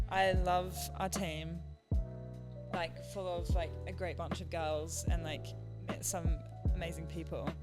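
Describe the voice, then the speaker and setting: Music plays behind a woman with a very deep, low pitch. She speaks at a very slow pace, with very wide pitch swings. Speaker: college field hockey player. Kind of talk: podcast interview answer. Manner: casual, chatty.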